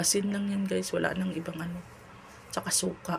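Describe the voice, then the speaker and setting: A woman speaks at a moderate pace in a fairly low pitch. Her intonation stays monotone and flat. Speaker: cooking vlogger. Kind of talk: cooking tutorial. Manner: casual, chatty.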